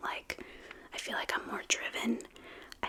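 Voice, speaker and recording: Whispering with an American accent comes through over noticeable background noise. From New York City. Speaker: singer-songwriter; mother. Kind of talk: interview answer.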